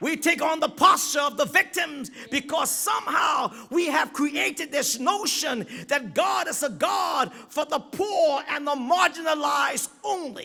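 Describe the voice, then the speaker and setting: A man shouting at an extremely high pitch. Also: ordinary pitch variation, fairly slow pace, hardly any pauses. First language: not English. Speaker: guest preacher. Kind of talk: sermon. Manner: halting at times, repeats words.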